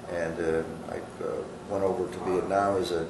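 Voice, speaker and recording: Noticeable background noise and audible room echo surround a man speaking with a Midwestern American accent. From US Midwest, Michigan. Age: 60s. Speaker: war veteran. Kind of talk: interview testimony. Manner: halting, many fillers.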